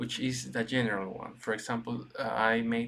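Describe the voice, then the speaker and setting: Man at medium pitch in a Spanish accent, intonation monotone and flat. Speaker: gaming video creator. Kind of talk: gameplay commentary. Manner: halting, many restarts and fillers.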